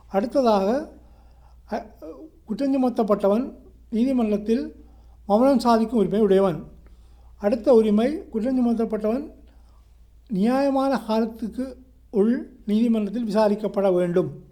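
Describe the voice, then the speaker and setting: A man with a Sri Lankan accent has a high, dark, mellow voice with ordinary pitch variation. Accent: Sri Lankan Tamil. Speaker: solicitor and law lecturer. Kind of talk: educational law lecture.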